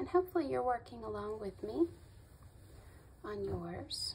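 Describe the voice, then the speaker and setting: The speaker goes at a fairly slow pace with noticeable background noise. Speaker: crochet tutorial maker. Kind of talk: tutorial.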